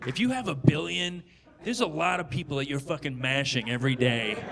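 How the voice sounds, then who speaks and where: A man's voice with very wide pitch swings over noticeable background noise. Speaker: stand-up comedian. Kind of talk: stand-up comedy routine, profane satirical rant building to a mock-outrageous proposal. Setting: stage with audience. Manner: animated, expletive-heavy, escalating indignation. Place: stage. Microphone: handheld.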